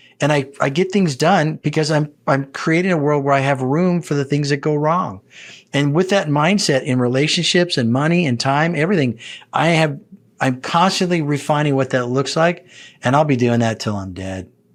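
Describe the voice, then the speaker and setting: Over a silent background in a very clean recording, a man uses a normal speaking voice. He speaks at a moderate pace with a fairly high pitch and ordinary pitch variation. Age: 60s. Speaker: executive coach. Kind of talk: interview conversation.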